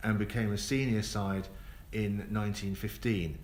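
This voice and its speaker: A fairly low-pitched man with a South East London accent, fairly even intonation and audible room echo. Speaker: tour guide. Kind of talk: live tour commentary. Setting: on a moving tour bus. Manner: casual, with many fillers.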